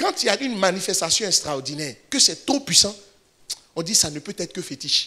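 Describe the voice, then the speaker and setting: Projecting a raised voice, a man talks at a fairly quick pace in a high pitch with very wide pitch swings. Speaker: pastor. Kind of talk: sermon. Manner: fast.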